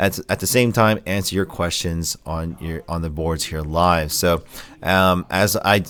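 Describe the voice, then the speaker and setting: In an American accent, a man talks at a moderate pace with ordinary pitch variation on a very clean recording with a silent background. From Philadelphia, US. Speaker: tech podcaster and store owner. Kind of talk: live-stream podcast chat. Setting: store, live stream. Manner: casual, hesitant with fillers.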